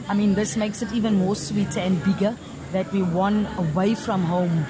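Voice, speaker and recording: There is noticeable background noise and audible room echo. A woman speaks fairly quickly at a medium pitch. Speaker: football coach. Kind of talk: post-match interview. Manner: hesitant, many fillers and repeats.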